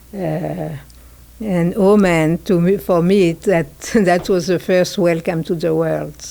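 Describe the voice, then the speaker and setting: Very slowly and in a monotone, flat intonation, a woman talks in a fairly low pitch. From Hungary. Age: 70s. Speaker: political activist. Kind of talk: interview. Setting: office space. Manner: halting, many fillers.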